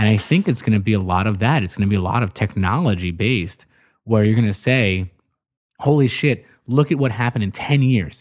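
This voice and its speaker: Over a very clean, silent background, a man speaks in a normal speaking voice at a fairly quick pace, with a fairly low pitch and ordinary pitch variation. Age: 30s. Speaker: podcast host. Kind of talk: casual interview chat.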